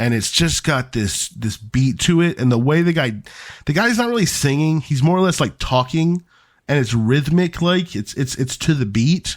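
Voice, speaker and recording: Over a very clean recording with a silent background, a man with a normal speaking voice talks at a fairly high pitch with lively intonation. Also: moderate pace. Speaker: podcast co-host. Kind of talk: casual chat.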